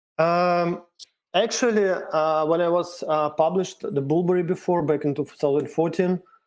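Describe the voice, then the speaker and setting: Keeping his loudness very even, a man with a Russian accent speaks at a moderate pace in a high voice with fairly even intonation. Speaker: cryptocurrency developer. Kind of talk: interview. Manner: halting.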